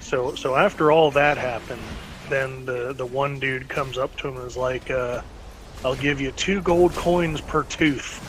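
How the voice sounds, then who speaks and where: Over noticeable background noise, a man talks at a moderate pace with an American accent. His pitch is medium and his intonation fairly even. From North Carolina. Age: 30s. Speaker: podcast host. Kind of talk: casual chat.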